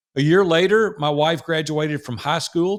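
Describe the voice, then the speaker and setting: A man speaks with a Southern US accent. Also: very clean recording, silent background. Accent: Southern drawl. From US South, Nashville, Tennessee. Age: 60s. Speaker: entrepreneur. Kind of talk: interview storytelling.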